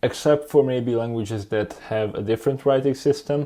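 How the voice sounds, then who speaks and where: At a moderate pace, a man talks at a medium pitch in a dark, mellow tone, in a very clean recording with a silent background. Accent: Hungarian. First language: Hungarian. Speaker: YouTuber, language learner. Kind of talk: tutorial monologue. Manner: casual, conversational.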